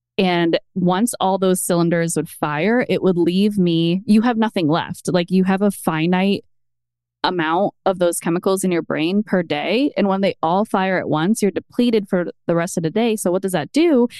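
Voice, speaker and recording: Delivered in a plain, everyday voice, the speech moves at a moderate pace with ordinary pitch variation and very even loudness, the sound dry and close with no echo over a quiet background. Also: woman, medium pitch for a woman. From US East Coast. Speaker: mom content creator. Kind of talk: casual chat. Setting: at home.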